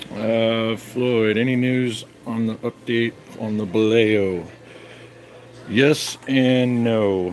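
A man at a medium pitch talks very slowly with fairly even intonation, leaving long, frequent pauses. Noticeable background noise runs underneath. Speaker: RC submarine hobbyist. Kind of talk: casual chat.

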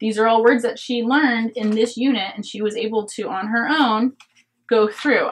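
A woman's somewhat breathy voice, fairly high in pitch, with fairly even intonation at a moderate pace. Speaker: homeschooling parent. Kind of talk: curriculum review talk to camera. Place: home room.

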